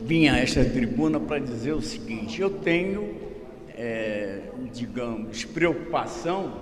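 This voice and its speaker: Speaking at a very slow pace, a man with a medium pitch makes very wide pitch swings, amid audible room echo and noticeable background noise. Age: 80s+. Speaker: club council member. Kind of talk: speech at a club council meeting. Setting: council meeting, speaking at the rostrum.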